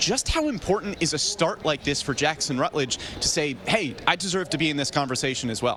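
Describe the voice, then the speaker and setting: Speaking with an American accent, a man with a fairly high pitch and ordinary pitch variation moves at a fairly quick pace with hardly any pauses over noticeable background noise. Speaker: sports broadcaster. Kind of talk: sports broadcast pre-game and post-game show hosting.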